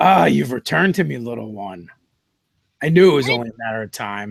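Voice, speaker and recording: A booming, raspy put-on character voice rattles along at a fairly quick pace, with very wide pitch swings and big swings in loudness. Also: man, medium pitch for a man. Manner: grand, commanding.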